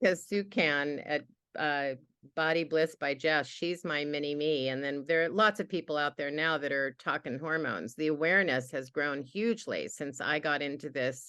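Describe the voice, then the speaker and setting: Against a quiet background, a woman speaks at a moderate pace in a very deep, low voice with a bright, sharp tone. Her pitch varies in an ordinary way. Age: 70s. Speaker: hormone health educator. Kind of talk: podcast interview.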